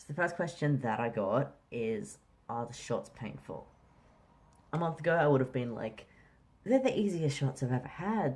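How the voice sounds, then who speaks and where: This man speaks at a fairly slow pace with a fairly high pitch and lively intonation. His voice is somewhat breathy. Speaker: vlogger. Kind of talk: casual vlog. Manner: casual, many fillers.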